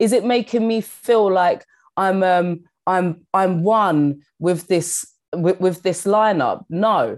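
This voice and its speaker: Speaking very slowly in a strong London accent, a woman keeps her loudness very even and her pitch variation ordinary. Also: medium pitch for a woman. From London, England. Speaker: stand-up comedian and actor. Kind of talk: casual interview chat.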